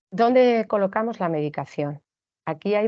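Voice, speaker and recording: A plain, everyday voice at a moderate pace, with ordinary pitch variation. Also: woman. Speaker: teacher giving a training talk to teachers. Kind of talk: online lecture / training talk. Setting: recorded online session.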